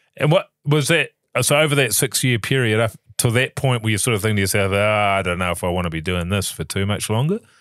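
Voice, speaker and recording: On a very clean recording with a silent background, a man with a New Zealand accent talks at a very fast pace with lively intonation and fairly low pitch, the sound dry and close with no echo. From New Zealand, Levin area. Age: 40s. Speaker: podcast co-host, actor. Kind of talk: casual chat.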